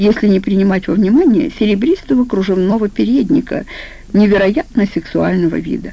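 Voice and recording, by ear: Pitch variation stays ordinary as the text is read aloud in a natural voice.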